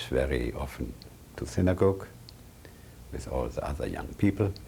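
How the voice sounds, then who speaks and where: A man's dark, mellow voice with vocal fry, lively intonation and a German accent. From Germany, Berlin. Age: 70s. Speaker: Holocaust survivor. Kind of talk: oral history interview.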